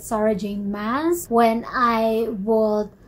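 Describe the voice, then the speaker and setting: Her voice somewhat breathy, a woman speaks at a fairly high pitch in a monotone, flat intonation. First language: not English. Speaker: book reviewer. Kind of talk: book review talk to camera. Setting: poor sound quality.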